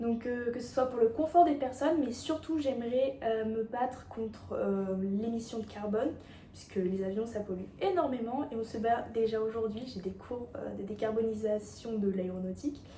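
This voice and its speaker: A woman talks at a moderate pace with fairly high pitch and ordinary pitch variation. Audible room echo and noticeable background noise are present. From France, Auvergne. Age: 20s. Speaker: beauty pageant contestant. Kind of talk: self-presentation video. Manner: hesitant, many fillers.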